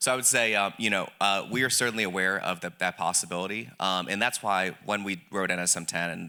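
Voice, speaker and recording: Speaking at a fairly quick pace with a slight Southern US accent, a man uses a very deep, low pitch and a bright, sharp tone, on a very clean recording with a silent background. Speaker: government policy official. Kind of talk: panel discussion.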